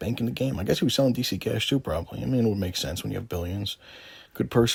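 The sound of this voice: The text is read in an unforced voice.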